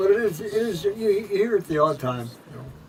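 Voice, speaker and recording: With music in the background, a man speaks in a high voice with lively intonation. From Winnipeg, Canada. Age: 80s+. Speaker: former vaudeville performer. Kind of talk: interview answer. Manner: hesitant, halting.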